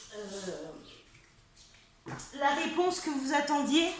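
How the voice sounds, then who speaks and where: Amid noticeable background noise and audible room echo, a woman speaks with a high pitch. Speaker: tarot reader and medium. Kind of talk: tarot reading. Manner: halting, many hesitations.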